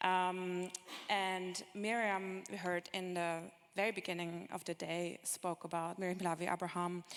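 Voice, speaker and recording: A woman with a fairly low voice speaks at a fairly slow pace, her intonation monotone and flat. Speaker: panel moderator. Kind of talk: panel discussion. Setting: stage with audience. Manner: halting; loud.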